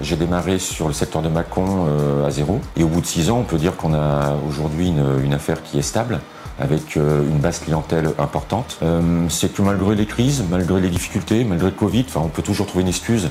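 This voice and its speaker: A man with a very deep, low pitch at a fairly quick pace, hardly any pauses and very even loudness, music in the background. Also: ordinary pitch variation. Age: 50s. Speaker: temp agency franchise owner. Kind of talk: testimonial interview. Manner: hesitant, many fillers and repetitions.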